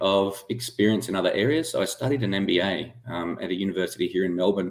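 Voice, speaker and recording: Speaking with an Australian accent, a man keeps a fairly quick pace. His pitch is fairly low, with ordinary variation. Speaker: medtech startup founder and former aerospace engineer. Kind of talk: interview.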